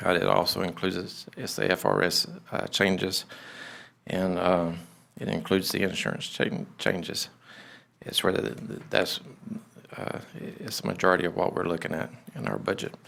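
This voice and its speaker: A man's very deep, low voice with vocal fry and an American accent, at a moderate pace with ordinary pitch variation and long, frequent pauses. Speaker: clerk of court. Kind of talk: budget presentation at public meeting. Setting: county commission meeting room. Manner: stuttering, halting.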